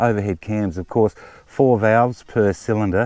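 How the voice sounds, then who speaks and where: A man speaks at a fairly slow pace in a dark, mellow tone. The sound is dry with no echo, over a quiet background. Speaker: motorbike owner reviewer. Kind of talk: casual review walkaround. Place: open country.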